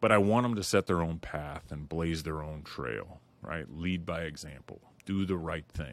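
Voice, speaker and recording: Vocal fry and ordinary pitch variation come through on a very clean recording with a silent background. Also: man. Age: 40s. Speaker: podcast host. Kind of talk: solo monologue intro.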